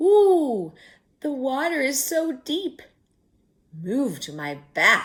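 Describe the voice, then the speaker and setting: Using a put-on character voice, a woman speaks at a very slow pace and a high pitch with long, frequent pauses, in a very clean recording with a silent background. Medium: read story. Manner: crooning, wheedling.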